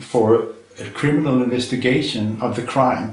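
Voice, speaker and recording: With a Danish accent, a man talks at a fairly slow pace at medium pitch with ordinary pitch variation, and audible room echo surrounds his voice. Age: 60s. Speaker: retired chemistry professor. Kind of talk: interview. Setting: filmed interview.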